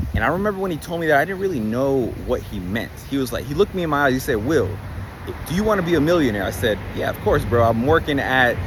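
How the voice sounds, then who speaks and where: Amid noticeable background noise and audible room echo, a man with fairly high pitch talks at a very fast pace with very wide pitch swings. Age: 20s. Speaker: online business coach. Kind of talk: casual vlog monologue. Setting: on location in Miami. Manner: animated.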